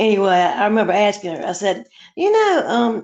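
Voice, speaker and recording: This woman talks in a Southern US accent at a moderate pace. Her voice sits at a medium pitch. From US South, Charleston, South Carolina. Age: 60s. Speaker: caller on a live stream. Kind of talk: casual chat.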